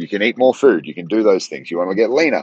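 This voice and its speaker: A very fast man with an Australian accent, in a dry, close sound with no echo. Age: 30s. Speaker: podcast host, strength coach. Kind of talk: motivational monologue. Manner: casual, conversational.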